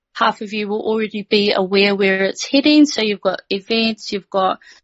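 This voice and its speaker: A woman with a New Zealand accent, fairly high pitch, fairly even intonation and a moderate pace. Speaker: community host. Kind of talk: voice chat talk. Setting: online voice chat. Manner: halting.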